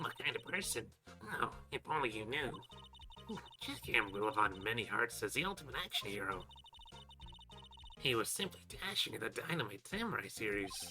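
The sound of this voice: A man's put-on character voice at a medium pitch and moderate pace, with very wide pitch swings and clear background noise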